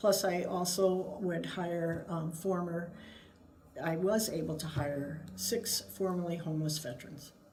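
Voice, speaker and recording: Someone with an American accent speaks at a fairly slow pace with ordinary pitch variation, amid noticeable background noise and audible room echo. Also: woman. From Wisconsin, US Midwest. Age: 60s. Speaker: state agency head, retired navy officer. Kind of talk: interview.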